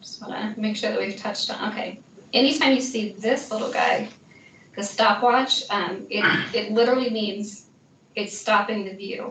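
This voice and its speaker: In a room with audible echo and noticeable background noise, a woman speaks with fairly even intonation at a fairly high pitch. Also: moderate pace. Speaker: instructional technology trainer. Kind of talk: software training session.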